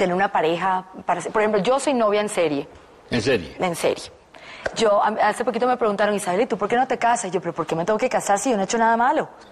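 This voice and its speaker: Light background noise accompanies a woman speaking at a very fast pace. Her pitch variation is ordinary. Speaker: talk show guest. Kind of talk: interview answer. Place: studio. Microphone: lapel.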